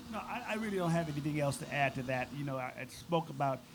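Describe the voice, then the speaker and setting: A man's fairly high-pitched voice over noticeable background noise. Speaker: physician panelist. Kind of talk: panel discussion. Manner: loud.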